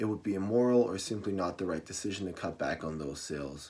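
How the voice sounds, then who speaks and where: Over a silent background in a very clean recording, a man with a very deep, low pitch talks at a fairly quick pace. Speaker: college student. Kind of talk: class persuasive speech.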